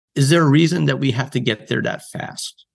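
A man speaks in a medium pitch with lively intonation. Vocal fry runs through his voice. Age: 50s. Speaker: author. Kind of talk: interview.

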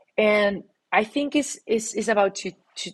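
A woman talks with a Latin American accent and ordinary pitch variation. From Mexico City. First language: Spanish. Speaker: startup founder. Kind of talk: interview.

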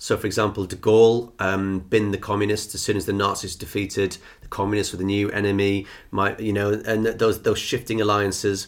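A man with a London accent speaks in a fairly low pitch and a monotone, flat intonation. The recording is very clean, with a silent background. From England, East London. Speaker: tour guide and podcast co-host. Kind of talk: casual chat.

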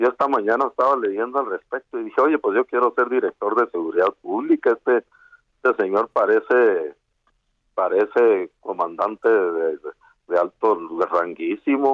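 Recorded dry and close with no echo, a man speaks at a moderate pace with very even loudness. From Sierra de Chihuahua, Mexico. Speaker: activist. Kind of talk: phone interview. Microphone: bad connection.

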